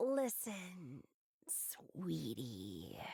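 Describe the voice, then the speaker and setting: A woman puts on a character voice. It is raspy and pitched very deep and low. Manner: condescending, patronizing.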